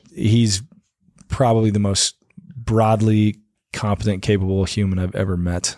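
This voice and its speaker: Speech comes at a moderate pace with long, frequent pauses and fairly even intonation. The voice has a dark, mellow tone and an American accent. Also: man, fairly low pitch for a man. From Arizona, Prescott. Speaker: bar owner and army veteran. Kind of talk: casual interview.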